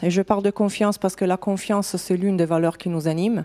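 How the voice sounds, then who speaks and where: A woman of medium pitch with an Italian accent. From Italy. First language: Italian (speaking French). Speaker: HR director. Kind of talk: conference talk. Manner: halting, many fillers.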